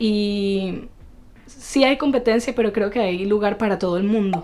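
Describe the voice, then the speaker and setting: A woman with a Venezuelan accent talks at a fairly slow pace in a fairly high pitch. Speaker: actress. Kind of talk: podcast interview answer.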